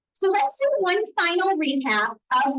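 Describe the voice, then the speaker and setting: In a slight Southern US accent, a woman speaks at a fairly slow pace. Her tone is enthusiastic and her intonation lively. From US South. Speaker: hair care brand educator. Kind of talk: live product demo and sales pitch.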